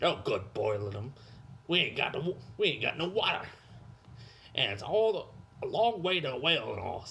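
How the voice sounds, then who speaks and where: Using a put-on character voice, a man speaks high at a moderate pace with long, frequent pauses. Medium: read story. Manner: quarrelsome, coarse.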